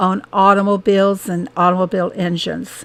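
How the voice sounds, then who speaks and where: A woman with an American accent, at a medium pitch. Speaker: gaming streamer. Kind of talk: casual chat. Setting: live stream.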